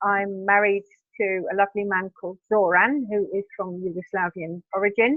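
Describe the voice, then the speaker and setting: A British-accented woman's voice of medium pitch, with fairly even intonation. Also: moderate pace. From Britain. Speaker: vegan B&B owner. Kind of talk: interview.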